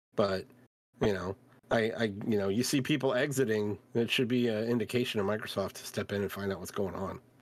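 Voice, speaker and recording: Delivered at a fairly quick pace with fairly even intonation, it is a normal speaking voice. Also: man. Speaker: podcast host. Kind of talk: casual chat.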